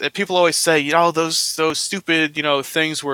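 A man's bright, sharp voice at a fairly high pitch. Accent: American. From New Jersey, US. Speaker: guest host, beer and wine blogger. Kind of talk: casual chat. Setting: remote call.

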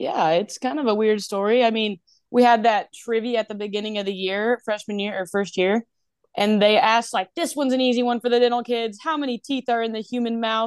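In a dry, close sound with no echo and a quiet background, a woman talks at a fairly quick pace in a fairly high voice with ordinary pitch variation. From North Carolina. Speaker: dental student. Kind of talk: casual chat. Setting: video call. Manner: laughs a lot; loud.

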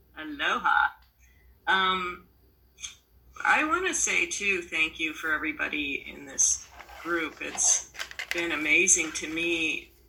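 With noticeable background noise, a woman speaks at a very slow pace. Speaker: retreat participant. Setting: video call.

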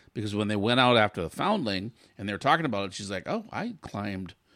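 Against a quiet background, a man with fairly low pitch speaks at a fairly quick pace in an ordinary speaking voice. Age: 50s. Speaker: podcast co-host. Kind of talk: casual chat.

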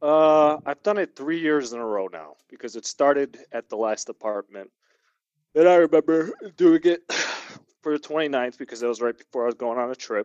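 In an ordinary speaking voice, a man with fairly high pitch and ordinary pitch variation talks at a moderate pace with big swings in loudness, the sound dry and close with no echo. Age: 30s. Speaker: podcast co-panelist. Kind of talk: casual chat.

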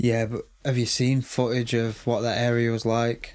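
A man with an English accent speaks at a medium pitch in a monotone, flat way. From England. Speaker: true crime podcast co-host.

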